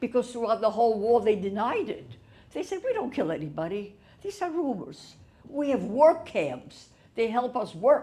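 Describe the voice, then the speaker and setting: Using vocal fry and very wide pitch swings, a woman with a fairly high pitch and a dark, mellow tone speaks at a moderate pace. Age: 80s+. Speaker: Holocaust survivor. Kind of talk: testimony talk to audience.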